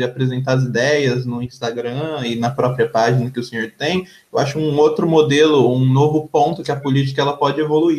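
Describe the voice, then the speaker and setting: The voice is somewhat breathy with a fairly even intonation. It moves at a moderate pace. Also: man. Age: young. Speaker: podcast host. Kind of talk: interview.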